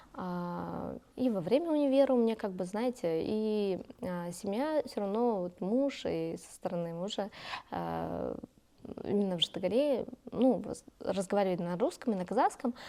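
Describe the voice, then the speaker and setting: Lively intonation and big swings in loudness mark this dark, mellow-toned delivery at a moderate pace. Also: woman, medium pitch for a woman. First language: Kazakh (speaking Russian). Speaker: youth leader and community activist. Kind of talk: interview. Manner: many hesitations and fillers.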